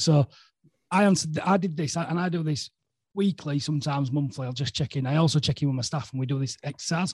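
A man with a Yorkshire accent talks very fast in a fairly high, somewhat breathy voice with ordinary pitch variation. The sound is dry and close, with no echo. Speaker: podcast host. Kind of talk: casual chat.

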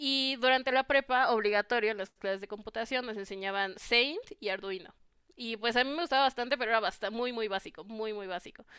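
Fairly high female voice with a Mexican accent, a bright, sharp tone and ordinary pitch variation. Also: fairly quick pace. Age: 20s. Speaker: computer engineering student. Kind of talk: interview.

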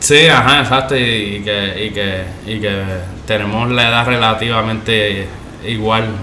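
With noticeable background noise and audible room echo, a man talks at a fairly slow pace with fairly even intonation. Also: medium pitch for a man. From Puerto Rico, Caguas. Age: 30s. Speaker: skateboarder. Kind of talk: casual chat. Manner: halting, repeats words.

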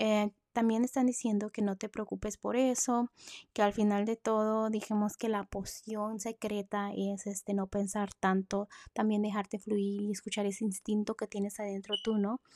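A woman's medium-pitched voice, dark and mellow in tone, monotone and flat, at a moderate pace, with a dry, close sound, no echo, and a very clean recording against a silent background. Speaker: horoscope podcaster. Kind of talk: tarot-style horoscope reading.

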